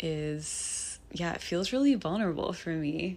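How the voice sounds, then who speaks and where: A woman's fairly low-pitched voice at a moderate pace. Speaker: podcast host. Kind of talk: personal monologue. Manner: free-flowing, reflective.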